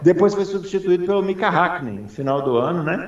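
This man has an unremarkable speaking voice and lively intonation. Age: 40s. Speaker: motorsport podcast host. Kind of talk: casual chat.

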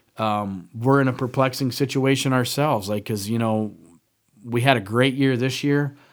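A man with a plain, everyday voice talks at a moderate pace and medium pitch with fairly even intonation in a very clean recording with a silent background. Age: 40s. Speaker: hunting podcast co-host, timber buyer. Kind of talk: casual chat. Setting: studio.

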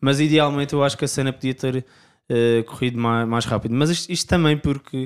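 A man talks at a fairly quick pace with hardly any pauses, at a medium pitch and with fairly even intonation. It is an ordinary speaking voice, on a very clean recording with a silent background. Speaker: indie rock singer and guitarist. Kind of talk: casual interview chat.

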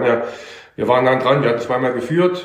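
Audible room echo hangs around a man as he speaks. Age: 50s. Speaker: amateur footballer. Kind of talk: casual interview. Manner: casual, filler-heavy.

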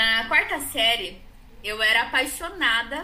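A woman's raised, projected voice with audible room echo and noticeable background noise. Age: 30s. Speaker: psychology student. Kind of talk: casual chat.

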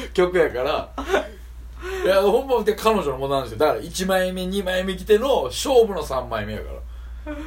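A man with a Kansai accent at a moderate pace, with big swings in loudness and noticeable background noise. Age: 30s. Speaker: podcast co-host and rapper. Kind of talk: casual chat.

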